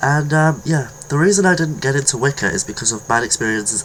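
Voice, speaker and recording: With lively intonation and a British accent, a man speaks at a medium pitch and a fairly quick pace. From Britain. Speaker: video blogger on witchcraft. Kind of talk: casual vlog monologue. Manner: halting, with self-corrections.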